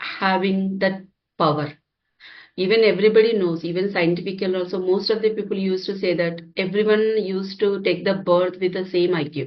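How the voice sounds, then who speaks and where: With an Indian accent, a woman speaks at a moderate pace and a medium pitch. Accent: Indian English (Telugu). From India, Hyderabad. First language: Telugu. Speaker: software engineer and healer. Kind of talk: interview. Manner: halting, many fillers.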